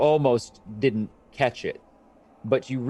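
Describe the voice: The pitch varies in an ordinary way across this plain reading aloud.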